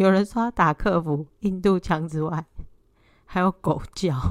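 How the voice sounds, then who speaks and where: In an ordinary speaking voice, a woman talks at a medium pitch and a fairly slow pace, with a dry, close sound and no echo. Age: 30s. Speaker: podcast co-host, housewife. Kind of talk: casual chat. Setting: remote recording with co-host.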